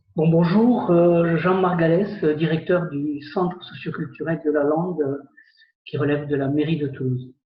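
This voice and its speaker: At a fairly slow pace, a man talks with fairly even intonation. His pitch is fairly high. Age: 60s. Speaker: community centre director and amateur magician, jury member. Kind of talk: interview. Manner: hesitant, many fillers.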